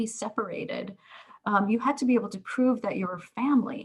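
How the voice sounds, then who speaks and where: Somewhat breathy, a woman's fairly high-pitched voice carries ordinary pitch variation. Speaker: professor of social work. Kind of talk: lecture. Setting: video call. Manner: halting, many fillers.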